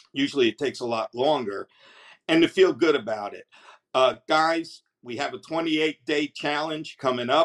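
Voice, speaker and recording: Someone with a New Jersey accent speaks at a moderate pace over a quiet background. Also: man, fairly high pitch for a man, ordinary pitch variation, big swings in loudness. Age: 70s. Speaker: customer giving product testimonial. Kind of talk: product testimonial to camera. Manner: enthusiastic, hesitant. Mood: enthusiastic, grateful. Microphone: webcam.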